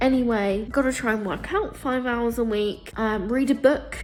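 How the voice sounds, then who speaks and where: A woman with an English accent, fairly high in pitch, at a moderate pace, with music in the background. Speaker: lifestyle vlogger. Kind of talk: casual vlog to camera. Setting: alone at home in flat. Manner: chatty, self-interrupting.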